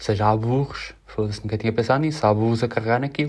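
A man talks at a fairly quick pace in a somewhat breathy voice, his intonation fairly even. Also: very clean recording, silent background. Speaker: podcaster. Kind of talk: casual monologue. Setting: home, in his bedroom.

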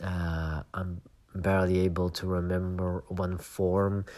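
Very deep and low in pitch, a man speaks with a Flemish accent. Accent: Belgian (Flemish) English. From Belgium. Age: 30s. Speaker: podcast host. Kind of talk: personal reflective monologue. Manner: hesitant, many fillers.

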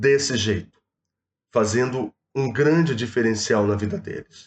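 The speaker is a man with a Rio de Janeiro accent. His medium-pitched voice moves at a fairly slow pace. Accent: carioca. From Rio de Janeiro state, Baixada Fluminense. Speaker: proptech entrepreneur. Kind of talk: casual chat. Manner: animated.

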